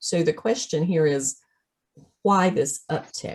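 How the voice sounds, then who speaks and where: A woman with a Southern US accent speaks at a fairly slow pace in a fairly low, somewhat breathy voice whose pitch swings very widely. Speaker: veterinary practice consultant. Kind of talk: webinar presentation.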